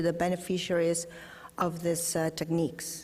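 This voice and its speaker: A Spanish accent is heard. The pace is moderate. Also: woman. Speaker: scientist. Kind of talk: conference presentation. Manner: halting.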